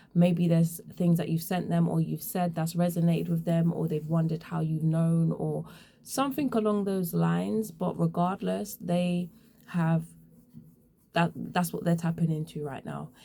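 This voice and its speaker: A woman in an English accent, somewhat breathy, with a dark, mellow tone and a moderate pace. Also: fairly low pitch for a woman, ordinary pitch variation. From England. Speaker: tarot reader. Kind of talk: tarot reading. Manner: casual.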